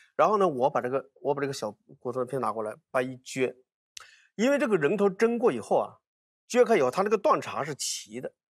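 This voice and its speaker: Over a quiet background with a dry sound and no echo, a man talks at a fairly quick pace, his fairly high pitch making very wide swings. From China, Hunan (Hunan-Jiangxi border). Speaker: archaeologist. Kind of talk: casual chat. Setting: studio. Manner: animated, repetitive. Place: studio. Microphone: lapel.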